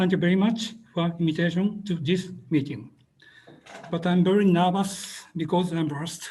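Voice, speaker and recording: Moderately paced speech from a high-voiced man, with fairly even intonation. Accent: Japanese. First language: Japanese. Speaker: webinar presenter, water engineer. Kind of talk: presentation. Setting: video call. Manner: halting, hesitant.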